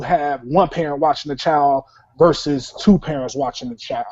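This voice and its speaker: A man with an American accent and a normal speaking voice talks at a moderate pace and a fairly high pitch. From Chicago, US. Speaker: talk show host. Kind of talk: casual discussion show. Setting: online hangout call-in show.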